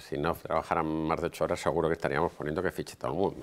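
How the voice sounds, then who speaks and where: A man speaks at a very fast pace. His pitch is very deep and low. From Spain. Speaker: hotel business owner; guest. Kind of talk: lecture. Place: hall. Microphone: podium.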